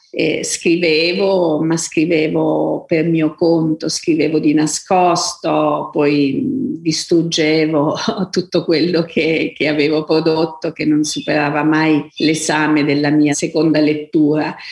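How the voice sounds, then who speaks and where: A woman speaks very slowly in a very deep, low voice with monotone, flat intonation. Her loudness is very even over noticeable background noise. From Abruzzo, Italy. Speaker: author, novelist. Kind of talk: interview, reflective talk about books and writing. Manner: hesitant, thoughtful, with frequent fillers.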